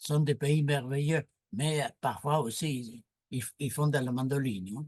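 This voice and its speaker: In a Latin American Spanish accent, a man talks with a fairly high pitch, a dark, mellow tone, ordinary pitch variation and a somewhat breathy quality, recorded with a dry, close sound and no echo. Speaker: moderator and philosopher-sociologist. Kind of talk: panel discussion. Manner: animated.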